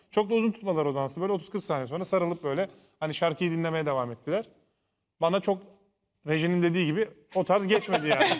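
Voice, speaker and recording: Over a quiet background, a man with a high pitch and ordinary pitch variation talks at a very fast pace, broken by long, frequent pauses. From Turkey. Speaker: former reality show contestant and TV commentator; TV commentator. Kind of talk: casual chat. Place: studio.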